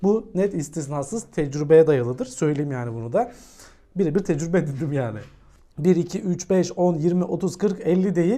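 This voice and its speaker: With a dark, mellow tone, a man talks at a high pitch and with lively intonation. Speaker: crypto YouTuber. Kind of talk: technical analysis video monologue. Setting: recording away from his room, various places. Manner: fast; casual, joking.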